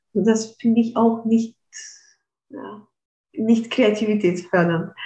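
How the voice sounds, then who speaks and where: A somewhat breathy, fairly high-pitched woman speaking very slowly, with fairly even intonation and big swings in loudness. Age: 30s. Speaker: physicist and creativity coach. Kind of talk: interview conversation. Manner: frequent hesitations.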